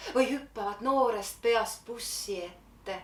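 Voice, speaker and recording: A very slow, fairly high-pitched woman's voice. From Finland. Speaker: poet. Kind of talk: slam poetry performance.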